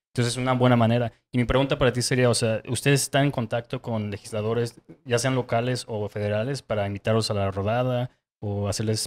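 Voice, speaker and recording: This man talks at a very fast pace in a medium pitch, his intonation monotone and flat. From Mexico, Querétaro; Mexico. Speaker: podcast host. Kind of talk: casual interview. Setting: on location in León. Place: shop. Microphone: handheld.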